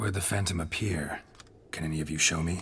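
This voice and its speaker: In a put-on character voice, a man with a very deep, low pitch talks at a very fast pace against clear background noise. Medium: video game. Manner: terse, dry, low-key.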